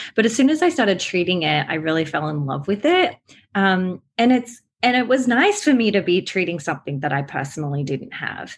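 A somewhat breathy woman with an Australian accent, medium pitch and very wide pitch swings, at a fairly quick pace against a quiet background. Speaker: therapist. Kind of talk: interview.

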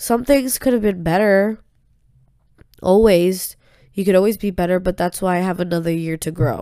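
Her voice is dark and mellow, medium in pitch, with ordinary variation, as a woman speaks at a moderate pace. She leaves long, frequent pauses, and the recording is very clean with a silent background. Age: 20s. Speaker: solo podcaster. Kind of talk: personal monologue. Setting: alone in bedroom. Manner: casual, rambling with false starts. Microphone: new USB microphone.

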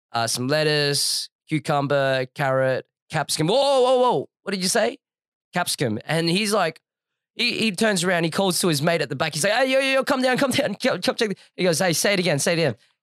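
With an Australian accent, the speaker moves at a fairly quick pace with very wide pitch swings and very even loudness, in a dry, close sound with no echo. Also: man, high pitch for a man. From Australia, Adelaide. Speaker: podcast co-host. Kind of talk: casual chat. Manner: animated.

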